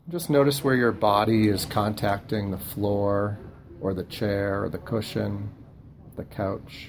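Fairly low-pitched male voice, calm and gentle in tone, at a fairly slow pace with ordinary pitch variation over noticeable background noise. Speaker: meditation guide. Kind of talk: guided meditation. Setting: room with youth group. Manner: calm, unhurried and gentle, with soft pauses between body parts; casual and reassuring, relaxed in tone.

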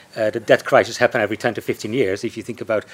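A man talks at a fairly quick pace in a medium pitch, with noticeable background noise behind him. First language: not English. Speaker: panel chair, economist at think tank. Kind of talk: panel discussion moderation. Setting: live event with audience. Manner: hesitant, many fillers.

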